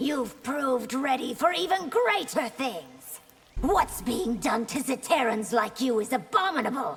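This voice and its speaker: A woman speaks in a put-on, high-pitched character voice. Her pace is moderate and her intonation lively. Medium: video game. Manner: regal, commanding.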